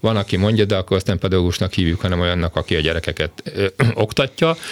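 A man's very deep, low voice at a very fast pace, with very even loudness and fairly even intonation, dry and close with no echo, over a silent background in a very clean recording. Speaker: education expert, former teachers' union president. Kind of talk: radio interview.

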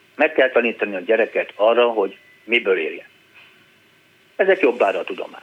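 Long, frequent pauses break up a man's speech. Between them, he talks at a fairly quick pace. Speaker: painter and art teacher. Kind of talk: phone-in conversation. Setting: phone call.

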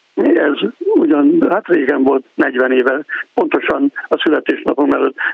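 A man is speaking. His pace is very slow. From Pécs, Hungary. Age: 60s. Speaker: radio caller, retired musician. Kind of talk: phone-in call. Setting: phone call.

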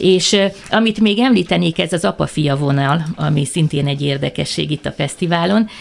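With lively intonation and a very deep, low pitch, a woman talks at a moderate pace amid noticeable background noise. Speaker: cultural center director and festival organizer. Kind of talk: radio interview.

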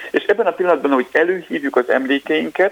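A man with a high-pitched voice talks as noticeable noise runs in the background. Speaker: neuroscientist, research group leader. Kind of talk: radio interview, explaining science. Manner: hesitant with fillers.

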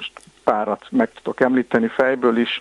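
A man with a medium-pitched voice is heard in a dry, close sound with no echo. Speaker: historian. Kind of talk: radio interview.

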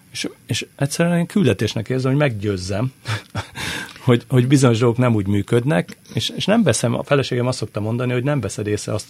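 A man at medium pitch, very fast, with ordinary pitch variation over noticeable background noise. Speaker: football commentator and former player. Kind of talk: casual chat. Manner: halting.

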